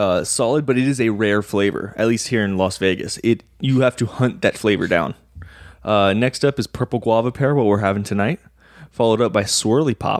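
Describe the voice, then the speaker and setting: A man's normal speaking voice, medium in pitch with ordinary variation, at a fairly quick pace and very even loudness, in a dry, close sound with no echo on a very clean recording with a silent background. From Texas. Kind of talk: casual banter about fantasy football.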